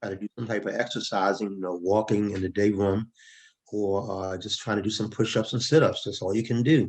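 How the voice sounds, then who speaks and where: A plain, everyday voice: a man, fairly low-pitched, at a fairly quick pace with fairly even intonation. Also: quiet background. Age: 60s. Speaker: former prisoner, retired government finance worker. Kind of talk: interview.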